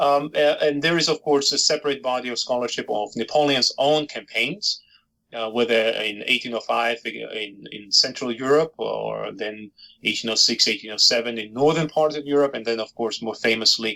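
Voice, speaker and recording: A man with a Georgian accent talks at a moderate pace and medium pitch. His tone is bright and sharp, with ordinary pitch variation. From Georgia (Soviet Union). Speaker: historian and author. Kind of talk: interview. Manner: hesitant, many fillers.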